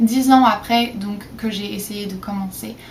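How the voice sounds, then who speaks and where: A woman's fairly even intonation amid noticeable background noise. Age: 20s. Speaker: vlogger. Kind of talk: casual vlog talk. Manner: hesitant with frequent fillers.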